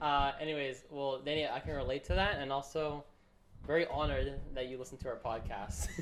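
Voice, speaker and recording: A normal speaking voice delivers the words with fairly even intonation. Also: man, fairly high pitch for a man. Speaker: podcast host. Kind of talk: casual chat.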